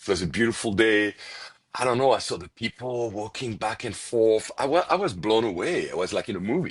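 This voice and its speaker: A man talks at a fairly quick clip with lively intonation and a strong French accent. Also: medium pitch for a man. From France, Paris. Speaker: restaurant owner. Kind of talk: podcast interview. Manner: hesitant, many fillers and repetitions.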